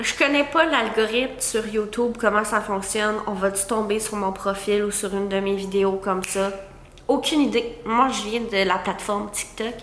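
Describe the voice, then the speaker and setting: Amid noticeable background noise and audible room echo, a woman with a Quebec accent talks at a fairly high pitch with hardly any pauses, fairly even intonation and big swings in loudness. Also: moderate pace. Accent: Québécois French. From Quebec, Gaspé peninsula. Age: 20s. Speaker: content creator, vlogger. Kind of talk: casual chat to camera. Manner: hesitant, many fillers.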